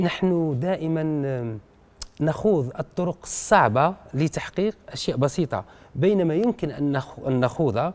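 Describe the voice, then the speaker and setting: A man talks very slowly, his pitch fairly high. His intonation is lively. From Algeria. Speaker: writer and poet; poet. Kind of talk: radio interview. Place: studio. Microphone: lapel.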